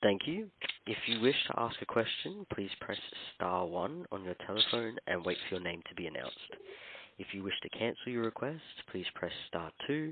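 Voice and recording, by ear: Big pitch swings mark a man's fairly low voice as he talks at a moderate pace.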